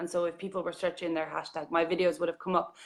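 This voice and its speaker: A woman speaks with an Irish accent, her pitch sitting fairly low. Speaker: journalist and vlogger. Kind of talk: casual interview chat. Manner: animated.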